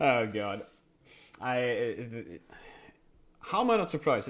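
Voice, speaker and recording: On a very clean recording with a silent background, a man speaks with a Dutch accent. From Netherlands. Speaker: streamer. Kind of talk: casual chat.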